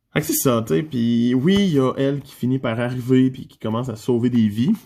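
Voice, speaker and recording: Fairly slow speech from a man of medium pitch with a Quebec accent. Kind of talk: casual manga review talk to camera.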